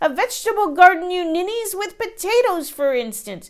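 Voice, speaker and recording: A woman does a put-on character voice at extremely high pitch, moving at a moderate pace. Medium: read story. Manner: scolding, bossy.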